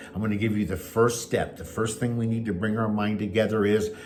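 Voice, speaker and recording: Over noticeable background noise and audible room echo, a man speaks at a fairly quick pace with a fairly low pitch. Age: 70s. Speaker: pastor and life coach. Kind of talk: motivational talk; personal testimony. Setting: at home.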